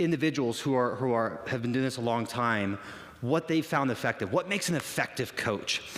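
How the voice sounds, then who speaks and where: This man talks at a very fast pace, his pitch medium with ordinary variation. Audible room echo and noticeable background noise surround the recording. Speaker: fitness coach. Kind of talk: conference talk. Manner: loud; animated.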